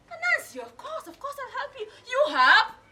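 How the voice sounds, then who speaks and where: A woman's squeaky, put-on character voice at an extremely high pitch, with lively intonation. Her loudness swings widely and she speaks at a fairly quick pace. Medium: read story.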